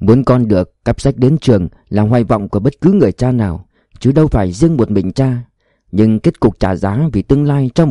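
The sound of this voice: Intonation is lively in this unforced reading voice. Behind it, all is quiet.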